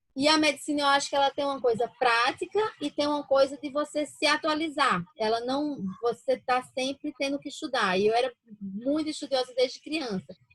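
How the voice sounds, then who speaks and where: Speaking with a northeastern Brazilian accent, a woman uses a high pitch with ordinary pitch variation at a moderate pace, in a dry, close sound with no echo. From Brazilian Northeast, interior of Paraíba. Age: 40s. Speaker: physician. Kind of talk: interview.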